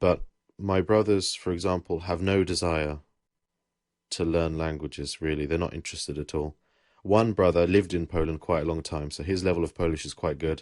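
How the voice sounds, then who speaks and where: Talking at a fairly quick pace, a man uses a very deep, low voice. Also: fairly even intonation, quiet background. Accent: English. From England. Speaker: podcast host. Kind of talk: casual chat.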